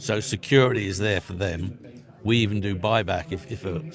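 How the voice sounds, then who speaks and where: With music playing in the background, a man talks in a fairly low pitch. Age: 60s. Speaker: exhibitor / sales rep for electronics equipment. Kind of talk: trade show interview. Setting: trade show floor. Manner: animated.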